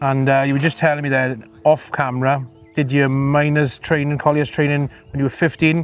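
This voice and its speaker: A man's fairly high voice at a fairly quick pace, monotone and flat, with music in the background. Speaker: interviewer, filmmaker. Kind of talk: interview questions.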